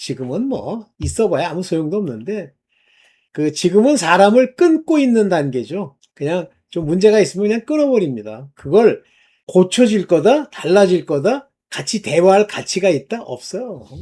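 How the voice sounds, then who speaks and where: Speaking at a moderate pace, a man uses a high pitch with very wide pitch swings and a dark, mellow tone. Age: 60s. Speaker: online preacher. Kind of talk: sermon-style monologue. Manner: casual, halting with fillers.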